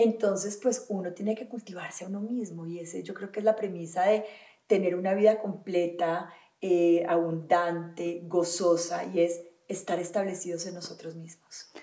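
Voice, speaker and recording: This is an ordinary speaking voice from a woman with a fairly low pitch and fairly even intonation. She keeps a moderate pace, with big swings in loudness. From Colombia, Valle del Cauca. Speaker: holistic wellness teacher. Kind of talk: interview conversation.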